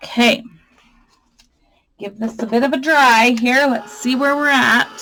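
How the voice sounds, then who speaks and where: A woman's loud, high voice with a bright, sharp tone at a fairly slow pace. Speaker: crafting youtuber. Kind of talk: tutorial. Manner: animated.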